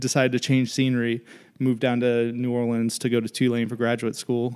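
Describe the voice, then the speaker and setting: Here a man speaks with an American accent. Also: very clean recording, silent background. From Florida and upstate New York. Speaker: architect, co-founder. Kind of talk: casual chat. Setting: studio.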